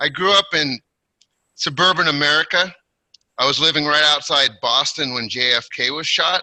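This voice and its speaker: A man with a West Coast accent speaks at a moderate pace in a fairly high voice, his intonation lively. His tone is bright and sharp against a quiet background. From Portland, Oregon, US Pacific Northwest. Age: 60s. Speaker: retired teacher giving a speech. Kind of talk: prepared personal speech at online club. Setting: online video meeting.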